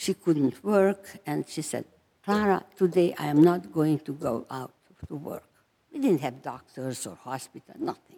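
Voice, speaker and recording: A woman's very deep, low voice with a dark, mellow tone, lively intonation, big swings in loudness and a fairly slow pace. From Romania, Transylvania. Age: 90. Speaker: Holocaust survivor. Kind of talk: testimony. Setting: chapel service with audience.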